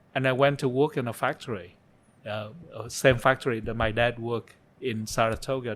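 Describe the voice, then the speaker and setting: A man with a Vietnamese accent, medium pitch, fairly even intonation and a moderate pace. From Vietnam (Saigon). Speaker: interview guest, refugee turned photographer. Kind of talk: interview, life story. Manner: halting, with many fillers and repetitions.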